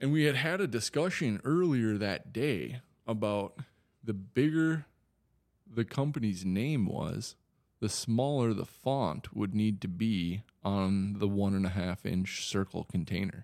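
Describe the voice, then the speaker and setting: A man in a slight Wisconsin accent, lively intonation and very even loudness. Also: fairly low pitch for a man, fairly slow pace. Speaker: cannabis business owner. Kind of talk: casual interview.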